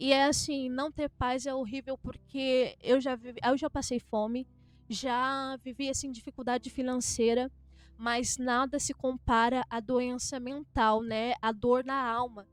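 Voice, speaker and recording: Music plays in the background as a woman speaks at a high pitch. Her intonation is monotone and flat. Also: fairly slow pace. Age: 20s. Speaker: pastor's wife. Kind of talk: testimony.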